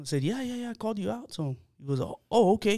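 A man talking at a very fast pace with lively intonation, on a very clean recording with a silent background. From Texas, San Antonio (south side). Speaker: podcast host. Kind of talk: casual chat. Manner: animated.

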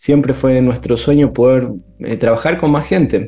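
A man speaks with a dark, mellow tone. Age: 30s. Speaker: pastor. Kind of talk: casual chat.

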